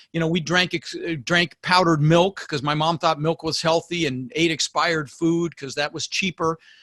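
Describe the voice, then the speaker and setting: In a dry, close recording with no echo, a man with an animated tone speaks at a high pitch and a moderate pace with hardly any pauses. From Denver, Colorado (US), born in the Netherlands. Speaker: real estate investor. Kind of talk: podcast interview. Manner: animated, with frequent word repetitions.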